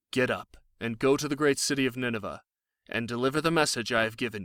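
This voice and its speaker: In a put-on character voice, a man races at a very fast pace, medium in pitch with ordinary pitch variation and big swings in loudness. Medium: read story.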